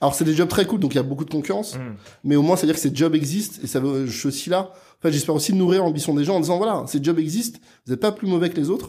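On a very clean recording with a silent background, a man with a fairly high voice and a dark, mellow tone speaks at a very fast pace with ordinary pitch variation. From France, Neuilly near Paris. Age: 30s. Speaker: entrepreneur, agency founder. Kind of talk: casual interview chat.

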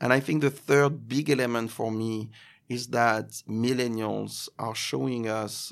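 A man speaks with a French accent. His intonation is fairly even. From France. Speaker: events agency executive. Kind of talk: interview. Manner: halting.

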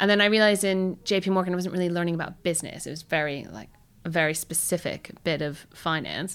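A very fast woman's voice, fairly low in pitch, with an American accent, in a very clean recording with a silent background. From United States. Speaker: marketing executive. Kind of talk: interview. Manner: animated.

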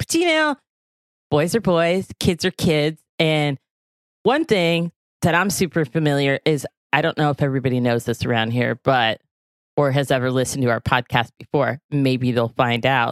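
In an American accent, a woman speaks at a moderate pace with a very deep, low pitch, ordinary pitch variation and very even loudness. The recording is very clean and dry, close with no echo, with a silent background. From US South. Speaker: podcast host. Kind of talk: casual interview; promotional announcement.

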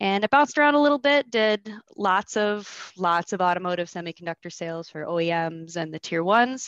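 A woman talks at a fairly quick pace with hardly any pauses, her pitch medium and her intonation lively. It's an ordinary speaking voice, with a dry, close sound and no echo. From US Midwest, Michigan. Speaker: technical sales manager. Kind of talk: casual interview chat.

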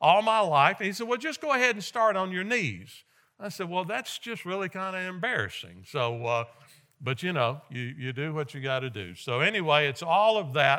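On a very clean recording with a silent background, a man with a high pitch and a bright, sharp tone speaks at a moderate pace with very wide pitch swings. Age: 60s. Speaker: guest preacher. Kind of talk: sermon. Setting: church.

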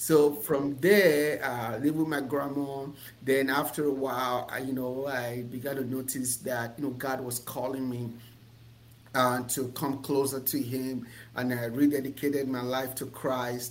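A man talks at a fairly slow pace and a medium pitch. His intonation is monotone and flat, with audible room echo. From Nigeria. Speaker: business coach and entrepreneur. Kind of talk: interview.

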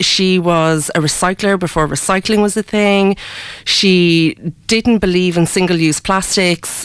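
A woman with an Irish accent speaks at a fairly slow pace, her medium pitch showing ordinary variation. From Ireland. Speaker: sustainable fashion designer. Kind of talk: radio interview. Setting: radio studio. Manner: hesitant, many fillers.

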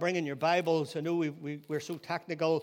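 This man speaks with a Northern Irish accent. His pitch is high. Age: 60s. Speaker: pastor. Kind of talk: sermon. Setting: church.

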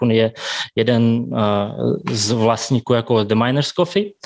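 In a Russian accent, a man at a medium pitch speaks at a fairly slow pace with ordinary pitch variation on a very clean recording with a silent background. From Kazakhstan and Siberia, Russia. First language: Russian (speaking Czech). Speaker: café and bakery owner. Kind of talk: interview.

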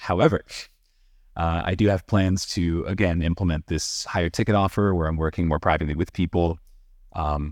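A man's very deep, low pitch sounds resonant. He keeps monotone, flat intonation at a moderate pace. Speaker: voiceover artist. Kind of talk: casual interview. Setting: video call.

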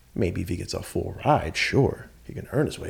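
A man's voice comes through somewhat breathy. He keeps a moderate pace. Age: 30s. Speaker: entrepreneur. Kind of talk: casual chat.

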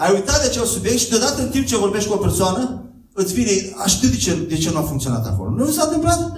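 Talking very fast in a high voice, a man swings his pitch very widely, with audible room echo and noticeable background noise. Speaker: guest preacher. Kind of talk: sermon. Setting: church.

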